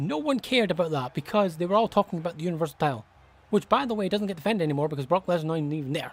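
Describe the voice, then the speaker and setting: This man's voice sits high in pitch. His intonation is lively. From Scotland. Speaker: wrestling video commentator. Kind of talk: rant. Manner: animated.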